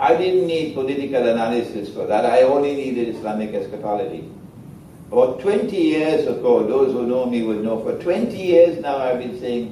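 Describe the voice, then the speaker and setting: A man with a medium-pitched voice talks at a moderate pace, his intonation lively. The room echo is audible and the background noise is noticeable. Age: 70s. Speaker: Islamic scholar lecturer. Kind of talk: lecture. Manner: animated.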